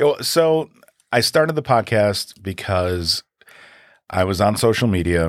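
In an American accent, a man with a fairly low voice speaks at a fairly slow pace with long, frequent pauses, very wide pitch swings and very even loudness, in a dry, close sound with no echo. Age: 40s. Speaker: advertising executive and podcaster. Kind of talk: casual interview conversation.

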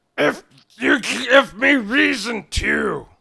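A man puts on a character voice. It is raspy and high-pitched.

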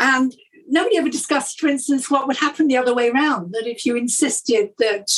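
With a British accent, the woman talks. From Britain. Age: 60s. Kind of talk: interview.

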